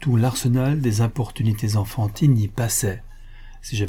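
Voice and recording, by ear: Here someone reads aloud in a natural voice.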